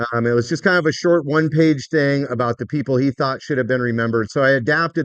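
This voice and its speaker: A man with an American accent, fairly even intonation and a very fast pace. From Washington State, US. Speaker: mycology educator. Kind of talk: lecture. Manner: loud.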